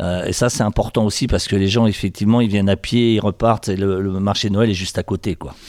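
Noticeable background noise sits behind a man talking very fast with fairly even intonation and hardly any pauses. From France, Sarthe. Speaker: mayor. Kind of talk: interview. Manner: halting.

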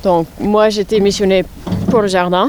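A woman speaks over noticeable background noise. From New York, US. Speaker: head gardener. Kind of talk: interview. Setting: outdoors. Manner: halting.

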